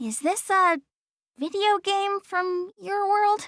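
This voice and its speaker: A woman puts on a squeaky character voice at an extremely high pitch. She talks at a very slow pace. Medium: video game. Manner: quick to get flustered and defensive.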